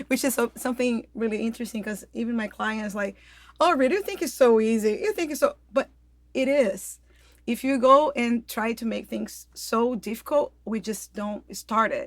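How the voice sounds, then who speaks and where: A woman talks with a fairly high pitch, keeping to a moderate pace. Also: ordinary pitch variation. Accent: slight Brazilian. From Brazil, Rio de Janeiro. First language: Portuguese. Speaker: health coach. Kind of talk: casual interview. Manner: hesitant, many fillers.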